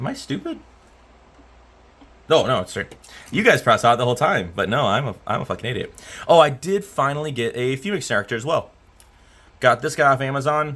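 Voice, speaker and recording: Loud and very fast, a man talks at a fairly high pitch with lively intonation and a bright, sharp tone, broken by long, frequent pauses. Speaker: electronics repair technician. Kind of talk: casual repair tutorial. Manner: casual with hesitations.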